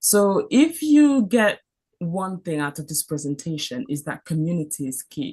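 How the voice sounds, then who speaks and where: In a French accent, a woman with a fairly low pitch and a dark, mellow, somewhat breathy tone speaks at a fairly slow pace, her pitch swinging very widely and her loudness shifting greatly. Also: quiet background. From Cameroon. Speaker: doctor. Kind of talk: mentorship talk.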